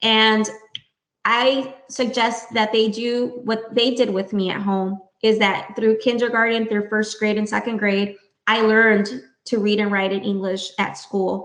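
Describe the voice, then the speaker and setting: A woman's fairly high voice in a Spanish accent, fairly slow and flat in monotone. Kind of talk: podcast interview.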